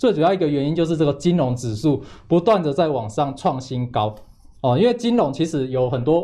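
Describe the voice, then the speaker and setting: A man talks at a fairly quick pace with a fairly high pitch and lively intonation. His voice is somewhat breathy, with a dark, mellow tone. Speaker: chip analysis investor. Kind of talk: financial talk show, explaining.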